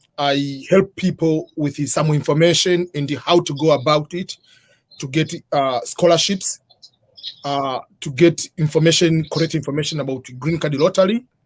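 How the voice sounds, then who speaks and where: A man with an East African accent speaks at a fairly high pitch. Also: moderate pace, dry, close sound with no echo. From Tanzania. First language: Swahili. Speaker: author and immigration advisor. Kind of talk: interview on live stream.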